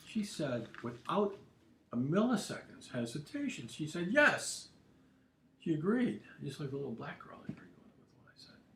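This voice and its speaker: A man's fairly high voice at a moderate pace, with very wide pitch swings and big swings in loudness. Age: 70s. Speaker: political commentator livestreamer. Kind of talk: casual livestream monologue. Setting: home studio livestream. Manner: halting, many repetitions.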